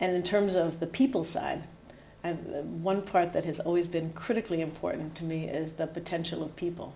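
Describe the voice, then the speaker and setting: With an American accent, a woman talks at a moderate pace in a fairly low pitch, keeping her intonation fairly even. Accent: American, still audible. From US New Hampshire. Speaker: HR executive. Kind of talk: interview conversation.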